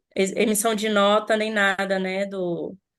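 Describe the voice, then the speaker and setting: Her voice sits at a medium pitch as this woman speaks. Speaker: freelance event technician. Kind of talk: online group discussion. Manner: halting.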